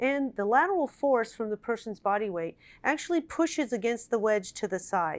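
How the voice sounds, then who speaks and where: On a very clean recording with a silent background, a woman with a plain, everyday voice speaks at a fairly high pitch and a moderate pace with lively intonation. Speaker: nurse and product inventor / company founder. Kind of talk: product infomercial explanation. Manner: clear, instructional.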